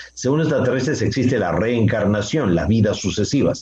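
A man talks at a fairly quick pace in a medium pitch with lively intonation. It is an unremarkable speaking voice. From Peru. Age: 60s. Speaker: author and contactee lecturer. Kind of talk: radio interview.

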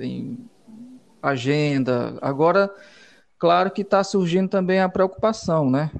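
With a high pitch and ordinary pitch variation, a man talks at a fairly slow pace, leaving long, frequent pauses. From Piauí, Brazil (Valença). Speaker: musician and songwriter. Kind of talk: radio interview. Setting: radio studio.

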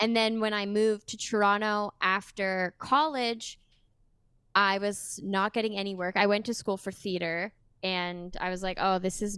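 Speaking at a fairly slow pace, a woman with a Canadian accent has a plain, everyday voice at a medium pitch. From Sudbury, Ontario, Canada. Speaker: musician and voice actor. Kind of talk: casual chat. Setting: video call.

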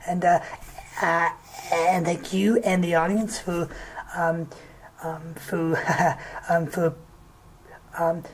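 A woman's fairly low voice, monotone and flat, at a very slow pace with long, frequent pauses, over noticeable background noise. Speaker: podcast guest. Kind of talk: casual chat. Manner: halting.

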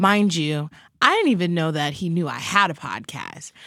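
This woman has an American accent and a plain, everyday voice. Her pitch is fairly low, with ordinary variation, at a moderate pace. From Long Island, New York. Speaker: podcast co-host. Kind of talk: casual chat.

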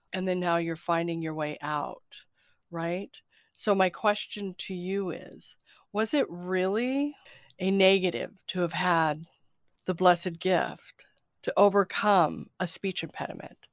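Recorded very cleanly against a silent background, a woman at medium pitch with ordinary pitch variation speaks in an unremarkable speaking voice. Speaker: podcast host. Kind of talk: casual spiritual interview chat. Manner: warm, effusive.

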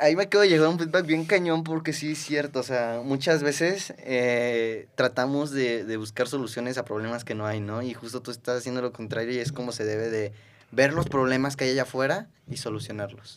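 At a fairly quick pace and with hardly any pauses, a man talks with ordinary pitch variation. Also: medium pitch for a man. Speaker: podcast host. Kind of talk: casual interview. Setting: in person studio. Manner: fast.

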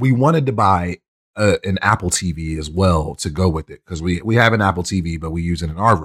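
With an American accent, a man speaks at a very deep, low pitch. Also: very clean recording, silent background. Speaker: podcast host. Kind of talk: casual chat.

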